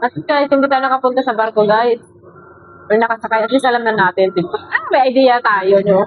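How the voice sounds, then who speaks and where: A woman with a fairly high voice speaks at a fairly quick pace with ordinary pitch variation and very even loudness while music plays in the background. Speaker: reaction video creator. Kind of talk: casual video reaction commentary.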